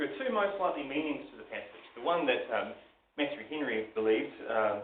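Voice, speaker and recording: This man talks at a fairly quick pace, with big swings in loudness. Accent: New Zealand. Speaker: preacher. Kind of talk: sermon. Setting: live church recording, average quality.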